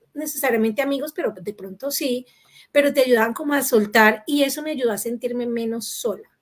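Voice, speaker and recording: A high-pitched woman with a Latin American accent, at a fairly quick pace. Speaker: panel moderator. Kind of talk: panel discussion.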